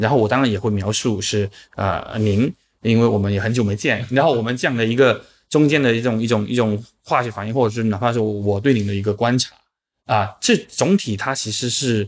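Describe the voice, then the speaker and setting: This very clean recording has a silent background. A man with a medium-pitched voice speaks very fast, his intonation fairly even. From Chaozhou, Guangdong, China. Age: 40s. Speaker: writing platform founder and podcaster. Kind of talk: casual chat.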